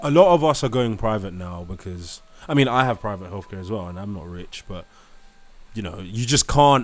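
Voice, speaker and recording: A man with a British accent and a fairly low pitch speaks at a fairly quick pace in an animated tone, with lively intonation and big swings in loudness. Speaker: live stream host. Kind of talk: live stream debate.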